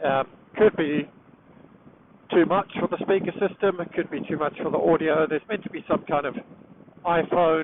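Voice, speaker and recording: At a moderate pace, a man talks in a fairly high pitch with an English accent. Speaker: motorcycle vlogger. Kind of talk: riding commentary to himself. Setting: riding a motorcycle outdoors in rain. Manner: loud; animated.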